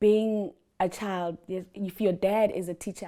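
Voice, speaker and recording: Speaking very slowly with an Afrikaans accent, a woman uses a medium pitch, fairly even intonation and a dark, mellow tone on a very clean recording with a silent background. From South Africa, Graaff-Reinet (Eastern Cape). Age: 30s. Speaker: entrepreneur and abuse survivor. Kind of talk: interview testimony.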